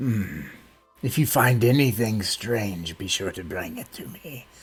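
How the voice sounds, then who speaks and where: A man's put-on character voice at a medium pitch, lively in intonation, at a fairly slow pace. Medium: actual play. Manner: cryptic, measured.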